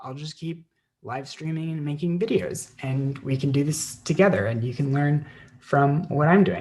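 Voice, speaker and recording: At a moderate pace, a somewhat breathy man with an American accent talks at a fairly high pitch with ordinary pitch variation. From United States. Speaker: online English teacher. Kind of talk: live-stream tutorial; casual chat. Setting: live stream. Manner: hesitant, many fillers.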